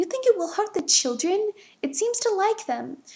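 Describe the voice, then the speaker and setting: A woman does a put-on character voice, squeaky and extremely high in pitch. Her pitch swings very widely at a moderate pace. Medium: read story.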